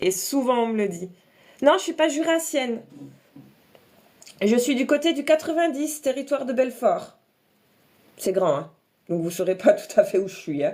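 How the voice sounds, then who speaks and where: With long, frequent pauses and a fairly slow pace, a woman speaks in a high voice with a dark, mellow tone and very wide pitch swings. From eastern France, Alsace and Franche-Comté. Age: 30s. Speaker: makeup content creator. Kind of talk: casual livestream chat and makeup tutorial.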